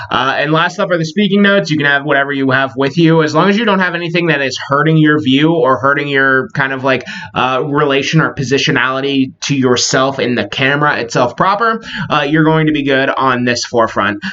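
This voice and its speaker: A man talks at a fairly quick pace with hardly any pauses, his fairly high pitch showing ordinary variation. Noticeable background noise runs underneath. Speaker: college instructor. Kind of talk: lecture. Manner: fast; casual with many filler words.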